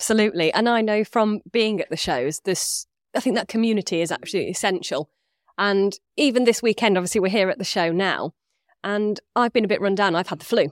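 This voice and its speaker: A woman at a very fast pace and medium pitch, ordinary pitch variation, a dry, close sound with no echo, and a very clean recording with a silent background. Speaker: podcast host. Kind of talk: interview conversation. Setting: live event recording.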